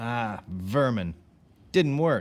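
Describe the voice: Someone reads aloud plainly, the intonation lively throughout.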